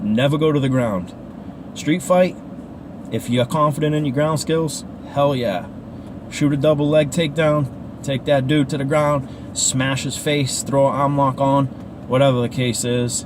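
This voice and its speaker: Over noticeable background noise, a man with a Boston accent speaks fairly slowly at a fairly high pitch, his intonation fairly even. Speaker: martial arts instructor. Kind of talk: casual talk to camera while driving. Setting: in a car. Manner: casual, rambling.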